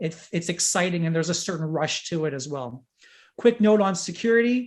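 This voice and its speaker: A man speaks with a high pitch. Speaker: crypto investor giving a talk. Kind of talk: presentation to a group. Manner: fast; animated.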